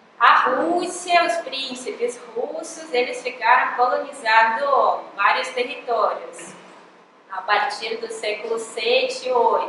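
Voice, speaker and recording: A woman talks at a very slow pace, with audible room echo and noticeable background noise. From Russia, Moscow. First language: Russian (speaking Portuguese). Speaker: professor. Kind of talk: lecture.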